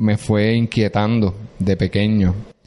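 A man is talking. He goes at a very slow pace. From Puerto Rico, Corozal. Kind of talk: casual interview. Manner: animated, laughing often.

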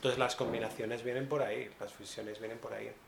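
A man's medium-pitched voice comes with audible room echo and noticeable background noise. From Valencia, Spain. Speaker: jazz pianist. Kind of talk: interview. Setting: jazz club.

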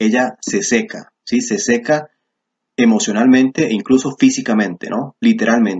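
Here a man speaks at a moderate pace in a medium pitch. His intonation is lively. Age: 20s. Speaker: YouTuber discussing men's philosophy. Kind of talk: monologue commentary video. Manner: animated.

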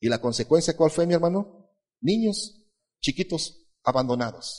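A man talks fairly slowly in a somewhat breathy voice, his pitch swinging very widely. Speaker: pastor. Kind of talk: sermon.

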